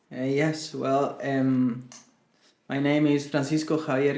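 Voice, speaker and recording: Amid audible room echo, a man with a Spanish accent speaks very slowly at a medium pitch with fairly even intonation. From Chile. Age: 20s. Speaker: singer-songwriter. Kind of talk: interview. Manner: halting.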